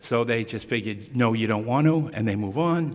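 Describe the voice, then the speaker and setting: Audible room echo surrounds a man with a Boston accent speaking at a moderate pace. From US Northeast, Boston area. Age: 60s. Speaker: speaker on Huntington's disease care. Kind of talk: lecture. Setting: stage with audience at podium. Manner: casual, conversational.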